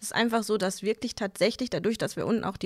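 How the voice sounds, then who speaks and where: A woman speaks fairly high in pitch, her pitch varying in an ordinary way, with an unremarkable speaking voice. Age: 30s. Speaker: bank advisor. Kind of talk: casual interview.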